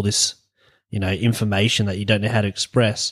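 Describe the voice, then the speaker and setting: Recorded very clean with a silent background and a dry, close sound with no echo, a man speaks at a medium pitch in an Australian accent. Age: 20s. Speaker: podcast host. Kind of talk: casual chat.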